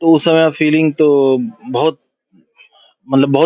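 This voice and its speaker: A man speaking with fairly even intonation, in a dry, close sound with no echo. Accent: Bihari. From Bihar, India. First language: Bhojpuri (speaking Hindi). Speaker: film director and producer. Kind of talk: interview.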